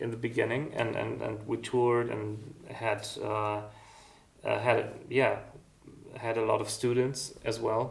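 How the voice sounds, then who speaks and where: In a German accent, a man speaks at a fairly slow pace with a medium pitch and monotone, flat intonation, with audible room echo. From East Germany. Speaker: music school founder and musician. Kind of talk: interview. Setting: music school. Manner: halting, many fillers.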